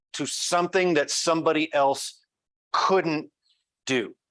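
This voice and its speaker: The voice is loud, with an American accent. It moves at a very slow pace with ordinary pitch variation. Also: man, long, frequent pauses. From US Midwest, Great Plains. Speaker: journalism professor. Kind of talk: conference talk.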